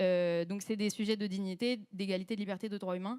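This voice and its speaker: On a very clean recording with a silent background, a woman speaks at a medium pitch in a flat monotone. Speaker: panelist activist. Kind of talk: panel discussion. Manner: hesitant with many fillers; talkative.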